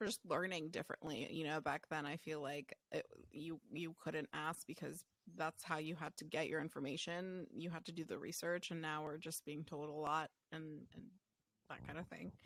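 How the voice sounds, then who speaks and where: At a moderate pace, a woman speaks with a very deep, low pitch and fairly even intonation in a dry, close sound with no echo. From child of immigrant parents. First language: not English. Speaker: optometry podcast co-host. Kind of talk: casual chat.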